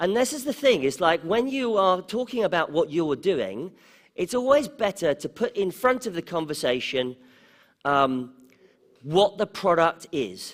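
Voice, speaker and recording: In a very clean recording with a silent background, a man with an English accent speaks at a fairly slow pace in a high pitch, with very wide pitch swings. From England, London. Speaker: conference speaker on startups. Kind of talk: conference talk. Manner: conversational, with fillers.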